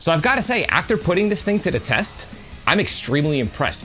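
A man speaks very quickly while music plays faintly behind him. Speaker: home recording reviewer. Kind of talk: product review commentary. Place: home room.

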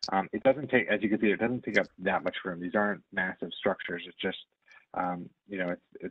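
A very fast male voice, very deep and low, with fairly even intonation. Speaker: property company representative. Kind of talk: presentation. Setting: video call. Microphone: video call.

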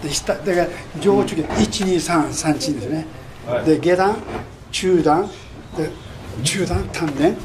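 Over noticeable background noise, a man with a fairly high pitch speaks at a moderate pace with long, frequent pauses. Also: ordinary pitch variation. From Japan. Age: 70s. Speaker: karate master. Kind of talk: interview answer. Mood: warm, smiling. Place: home room.

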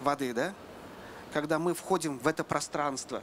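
This man's pitch varies in an ordinary way, with light noise in the background. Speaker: speaker. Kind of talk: panel discussion talk. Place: stage. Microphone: handheld.

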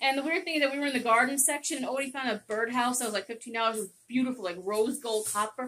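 Light background noise sits behind a woman speaking at a high pitch with ordinary pitch variation. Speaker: haul vlogger. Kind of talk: casual vlog chat. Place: home room. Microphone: phone near.

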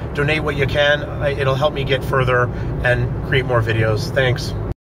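A man talks at a moderate pace against loud background noise, and the sound is dry with no echo. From Canada. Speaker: street interviewer, video host. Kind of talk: casual street interview. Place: car. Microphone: phone near.

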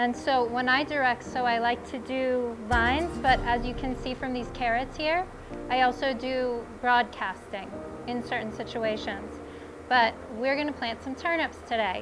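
A woman's high-pitched voice at a moderate pace, fairly even in intonation, with music in the background. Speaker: gardening instructor. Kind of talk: tutorial. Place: garden. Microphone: lapel.

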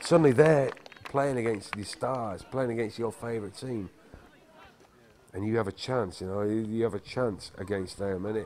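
Noticeable background noise sits behind a man speaking at a moderate pace. His pitch is fairly low, with ordinary variation. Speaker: film narrator. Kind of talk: documentary narration, casual monologue.

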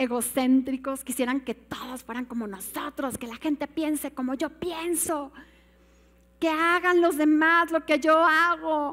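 A woman with a Mexican accent speaks in a high voice with ordinary pitch variation. Her tone is animated. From Mexico. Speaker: pastor. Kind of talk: sermon. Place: church.

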